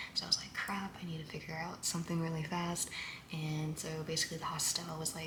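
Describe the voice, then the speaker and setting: A woman speaks quietly at a fairly quick pace in a fairly low, monotone, flat voice with an American accent. Audible room echo and noticeable background noise surround her. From US South, Louisiana. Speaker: podcaster. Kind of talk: casual monologue vlog. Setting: Airbnb room. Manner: quiet, low volume.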